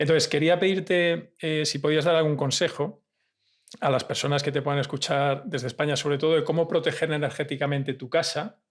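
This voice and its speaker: A man talks at a fairly quick pace with a Spanish accent. His fairly high voice keeps fairly even intonation on a very clean recording with a silent background. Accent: Peninsular Spanish. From Spain. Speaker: podcast host. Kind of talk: interview conversation.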